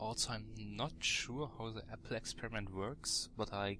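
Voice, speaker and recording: Fairly low and bright with a sharp edge, a man's voice carries vocal fry and fairly even intonation. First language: not English. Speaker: gaming commentator. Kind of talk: let's play game commentary. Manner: casual, thinking aloud.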